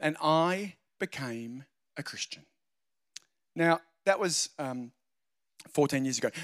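Speaking in an Australian accent, a man uses fairly high pitch with ordinary pitch variation. His fairly slow delivery sounds dry and close with no echo. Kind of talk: sermon.

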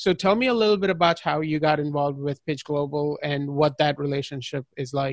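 A man with a fairly high pitch and a normal speaking voice talks at a fairly quick pace with hardly any pauses. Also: ordinary pitch variation. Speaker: podcast interviewer. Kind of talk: casual interview.

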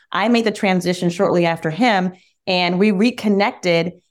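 A woman with an American accent speaks in a normal speaking voice at a medium pitch and moderate pace, with ordinary pitch variation. The recording is very clean, with a silent background. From US Midwest (Michigan). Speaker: former TV news anchor, bull owner. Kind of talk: interview.

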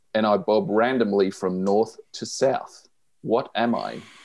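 A man speaks with an Australian accent at medium pitch. His pace is very slow. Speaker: podcast co-host. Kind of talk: casual chat.

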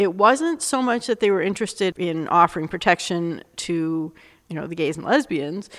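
A woman speaks in an ordinary speaking voice at a moderate pace, with a fairly low pitch and ordinary pitch variation. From Canada, Montreal. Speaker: university dean. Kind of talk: interview.

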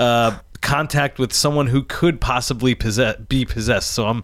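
This man has a normal speaking voice, pitched in the medium range. He talks at a fairly quick clip. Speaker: podcast co-host.

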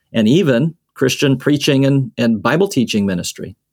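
The speaker is a man. He has an American accent. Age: 50s. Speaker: seminary dean and church historian. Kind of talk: interview conversation. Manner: frequent filler hesitations.

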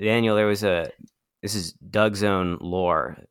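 A man talks in an ordinary speaking voice with an American accent, at a fairly low pitch and a moderate pace. The recording is very clean, with a silent background. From US East Coast, Appalachia. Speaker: podcast host. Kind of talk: casual banter.

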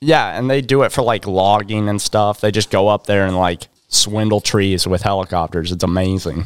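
In an ordinary speaking voice, a man talks at a fairly low pitch with ordinary pitch variation, the sound dry and close with no echo. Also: moderate pace. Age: 20s. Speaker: podcast co-host and car builder. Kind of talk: casual chat.

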